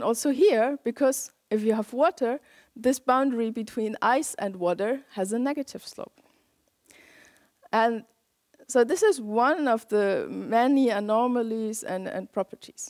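Against a quiet background, a woman speaks. She uses ordinary pitch variation at a moderate pace. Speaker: lecturer. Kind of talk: lecture. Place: hall. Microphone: headset.

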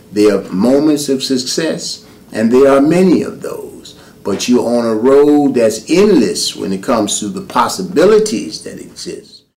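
This speaker has an American accent and talks at a moderate pace with very wide pitch swings and big swings in loudness. Noticeable background noise runs under the voice. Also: man, fairly high pitch for a man. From New York City (Harlem). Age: 50s. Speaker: visual artist. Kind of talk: personal introduction monologue. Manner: hesitant with fillers.

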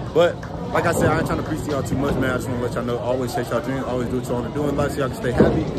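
Man talking at a very fast pace over loud background noise. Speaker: vlogger. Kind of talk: casual vlog chat. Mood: earnest, motivational. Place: hall. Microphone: phone near.

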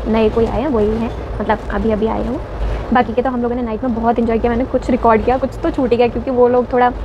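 Over music in the background, a woman speaks at a fairly quick pace in a monotone, flat intonation, with a dry sound and no echo. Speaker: travel vlogger. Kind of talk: casual vlog chat. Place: train. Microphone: phone near.

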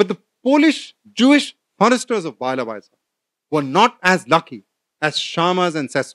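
A man speaks in a high voice with very wide pitch swings and long, frequent pauses against a quiet background. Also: moderate pace. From India (Delhi). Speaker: professor. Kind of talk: lecture. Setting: stage with audience. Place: hall. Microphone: podium.

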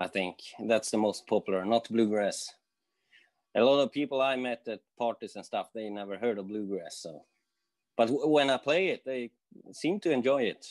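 With long, frequent pauses, a man speaks in a Swedish accent against a quiet background. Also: ordinary pitch variation, moderate pace. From Sweden. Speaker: guitarist and guitar teacher. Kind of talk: interview. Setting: video call. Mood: relaxed, friendly. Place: home room. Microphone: earbuds.

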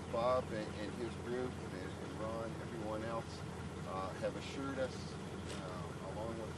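Over loud background noise, a man speaks at a moderate pace in a dry recording with no echo. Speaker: speaker. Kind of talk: short public speech. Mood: positive, thankful. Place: open country. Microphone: old recording.

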